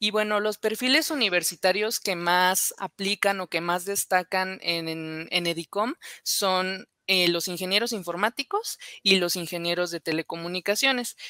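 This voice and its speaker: A woman speaks at a fairly slow pace with a medium pitch and a bright, sharp tone. The sound is dry with no echo, and the background is quiet. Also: ordinary pitch variation. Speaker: software engineer; presenter. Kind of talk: conference presentation. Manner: hesitant, many fillers. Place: home room. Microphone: webcam.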